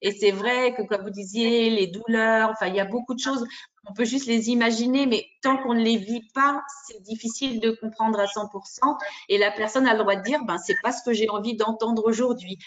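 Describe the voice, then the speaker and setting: Here is a woman with a normal speaking voice and a fairly high pitch. She keeps a moderate pace and fairly even intonation. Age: 60s. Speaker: parent caregiver of daughter with MS. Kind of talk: testimony in group discussion.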